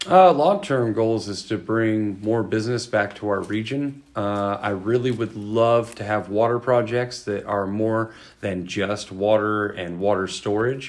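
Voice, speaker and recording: A man with an American accent, fairly low pitch, ordinary pitch variation and a very slow pace. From California Central Valley (Modesto). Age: 40s. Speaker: state senate candidate, military veteran. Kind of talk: interview. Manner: halting.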